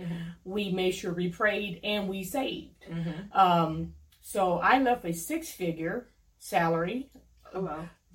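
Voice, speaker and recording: With an American accent, this is a normal speaking voice at a fairly slow pace. Its pitch varies in an ordinary way. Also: woman, medium pitch for a woman. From US Midwest (Cleveland, Ohio). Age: 40s. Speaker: lawyer. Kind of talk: casual interview.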